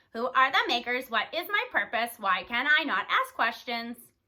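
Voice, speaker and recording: The speaker is a woman doing a put-on character voice. Her pitch sits high. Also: moderate pace. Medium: read story.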